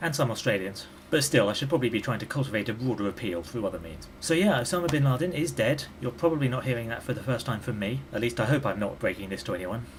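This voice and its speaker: A man at medium pitch with a British accent, very fast, lively in intonation, with hardly any pauses. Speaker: YouTube commentator. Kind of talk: vlog monologue. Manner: conversational.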